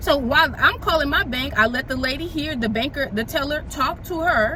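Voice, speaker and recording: A woman speaks in a raised, projected voice at a high pitch with ordinary pitch variation. She talks at a fairly quick pace over noticeable background noise. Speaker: mom vlogger. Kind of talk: casual storytime vlog. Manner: fast.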